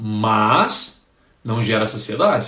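A man's voice comes with audible room echo. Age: 30s. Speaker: nutritionist. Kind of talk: live stream talk. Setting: Instagram live stream. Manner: casual, chatty.

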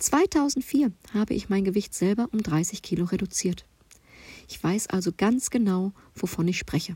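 A woman's somewhat breathy, dark, mellow voice moves at a fairly slow pace with lively intonation. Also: medium pitch for a woman, dry, close sound with no echo. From Ruhr area, Germany. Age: 40s. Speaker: nutrition coach. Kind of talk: podcast self-introduction monologue. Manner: chatty, informal.

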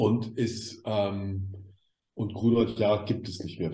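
Fairly low male voice, somewhat breathy, with a dark, mellow tone, a fairly slow pace and audible room echo. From West Germany. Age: 60s. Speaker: media expert. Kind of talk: interview.

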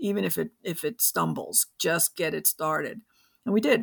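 A woman talks at a moderate pace in an American accent, with a dry, close sound and no echo. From New York City. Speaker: author and carbon market expert. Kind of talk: interview. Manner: halting.

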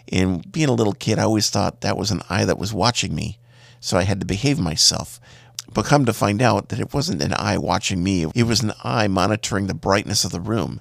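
A fairly low-pitched man speaks with lively intonation and vocal fry at a fairly quick pace. The recording is very clean with a silent background. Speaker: podcast host. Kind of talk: casual monologue. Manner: hesitant with fillers.

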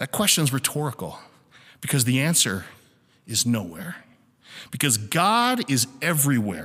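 On a very clean recording with a silent background, a bright, sharp voice with vocal fry makes very wide pitch swings. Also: man. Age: 20s. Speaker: church teacher. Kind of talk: sermon.

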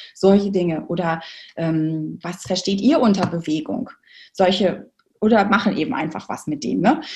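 At a moderate pace, a woman talks in a fairly low voice with vocal fry and ordinary pitch variation. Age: 40s. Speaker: movement educator for children. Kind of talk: interview.

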